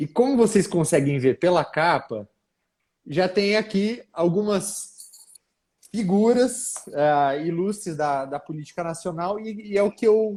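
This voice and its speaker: A man with a northern Paraná accent, high-pitched, at a fairly slow pace with lively intonation. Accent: caipira accent of northern Paraná. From northern Paraná, Brazil. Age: young. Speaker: political author and commentator. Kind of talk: live panel discussion.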